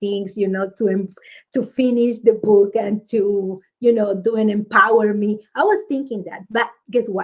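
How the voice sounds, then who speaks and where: With a strong Spanish accent, a woman speaks at a fairly high pitch and a fairly slow pace. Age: 50s. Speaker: author. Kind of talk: interview conversation. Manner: halting.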